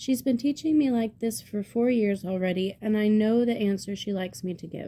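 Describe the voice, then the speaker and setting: Speaking at a fairly slow pace, a woman has a fairly high pitch and a dark, mellow tone. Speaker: amateur book reader. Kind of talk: reading aloud. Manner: halting.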